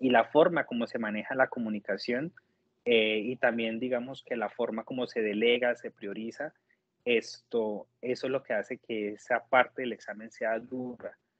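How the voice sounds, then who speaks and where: A man talks with a Colombian accent at a medium pitch. His intonation stays fairly even. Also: moderate pace. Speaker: nurse. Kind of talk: interview testimony. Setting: video call.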